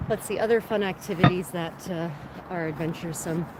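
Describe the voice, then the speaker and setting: Over noticeable background noise, a woman with an American accent speaks at a fairly quick pace. Her pitch is medium and her intonation lively. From United States. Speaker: travel vlogger. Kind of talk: casual chat. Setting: outdoors. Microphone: no microphone, must stay near the camera.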